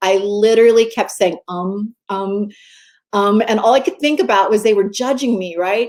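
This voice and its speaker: At a moderate pace, a woman talks in a normal speaking voice with medium pitch and fairly even intonation. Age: 60s. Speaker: mindset coach and magazine editor. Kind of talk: interview.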